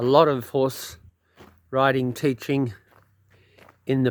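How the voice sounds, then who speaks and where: An Australian-accented man at a medium pitch, with fairly even intonation. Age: 70s. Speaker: hobby farmer. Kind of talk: casual walk-around talk to camera. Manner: hesitant, casual.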